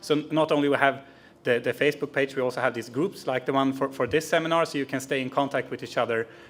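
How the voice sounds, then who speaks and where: This man's voice sits at a fairly high pitch with fairly even intonation. He talks at a very fast pace. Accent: Swedish. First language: Swedish. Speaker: youth network organiser. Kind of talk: conference presentation.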